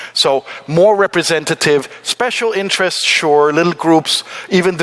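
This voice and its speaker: A man's speech shows ordinary pitch variation, with noticeable background noise present. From Denmark. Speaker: forum panelist. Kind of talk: panel talk.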